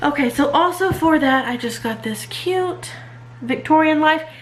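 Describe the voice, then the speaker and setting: A woman's lively intonation with audible room echo. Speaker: homeschooling mom and channel host. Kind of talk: casual show-and-tell vlog. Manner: casual with many fillers.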